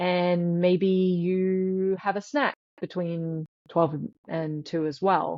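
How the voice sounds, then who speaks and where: A woman with an Australian accent, fairly low in pitch, at a very slow pace with fairly even intonation. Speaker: sleep scientist. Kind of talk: interview.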